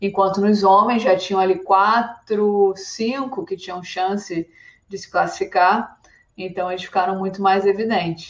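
Fairly even intonation and a moderate pace come from a plain, everyday voice. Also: woman. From Brazil, Rio de Janeiro. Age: 30s. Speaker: climbing athlete. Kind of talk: podcast interview.

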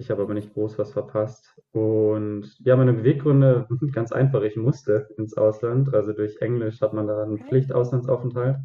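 At a moderate pace and medium pitch, a man talks in a plain, everyday voice with hardly any pauses. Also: fairly even intonation. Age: 20s. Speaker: student teacher. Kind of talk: casual interview.

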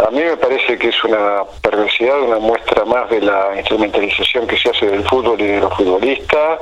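A man's medium pitch, ordinary pitch variation and very even loudness at a fairly quick pace with hardly any pauses, over noticeable background noise. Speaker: fitness coach. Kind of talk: interview.

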